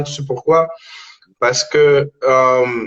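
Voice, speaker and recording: With a Spanish accent, a man talks at a medium pitch and keeps his intonation fairly even. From Dominican Republic, raised in Montreal. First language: Spanish (speaking French). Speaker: rapper. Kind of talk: casual interview. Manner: halting, repeats words.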